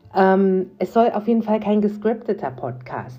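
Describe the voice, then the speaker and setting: Very slowly, a woman talks while noticeable background noise runs underneath. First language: bilingual English and German (speaking German). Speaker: podcast host. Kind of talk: casual monologue. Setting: home office. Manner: spontaneous, unscripted.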